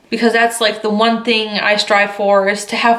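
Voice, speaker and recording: There is audible room echo around a woman speaking in a fairly high pitch. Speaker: photographer and vlogger. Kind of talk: casual vlog talk to camera. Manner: many fillers like um and like.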